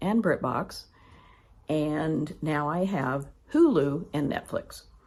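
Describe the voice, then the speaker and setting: A woman speaks with an American accent in a very deep, low voice with vocal fry. Her intonation is lively. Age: 60s. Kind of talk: casual budget vlog. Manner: conversational with filler ums.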